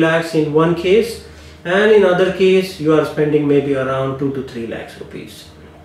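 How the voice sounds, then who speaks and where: A man talks in a fairly high pitch. The room around him gives off audible echo. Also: big swings in loudness. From India. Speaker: immigration lawyer. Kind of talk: advice monologue to camera.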